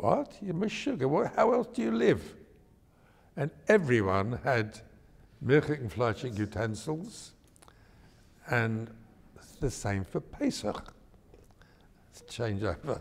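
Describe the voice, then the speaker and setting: With an East London accent, a man speaks very slowly in a somewhat breathy, medium-pitched voice with lively intonation. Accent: London English, older East End. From East End of London. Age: 90s. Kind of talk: oral history interview. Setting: synagogue.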